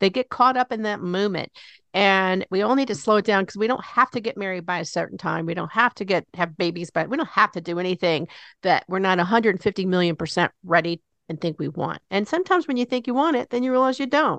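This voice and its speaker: A woman with a medium pitch speaks at a very fast pace with lively intonation. The sound is dry and close with no echo, over a quiet background. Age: 60s. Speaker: radio talk show host. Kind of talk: interview. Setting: studio. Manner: animated.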